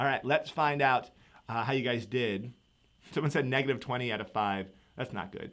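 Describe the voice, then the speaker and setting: A man is speaking. His tone is animated. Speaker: economics teacher. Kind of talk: live review session. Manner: fast.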